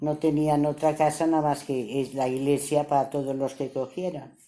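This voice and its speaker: Her voice is very deep and low, with a dark, mellow tone. The woman speaks at a fairly slow pace. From El Campello, Alicante. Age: 80s+. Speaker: civil war survivor interviewed. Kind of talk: oral history interview.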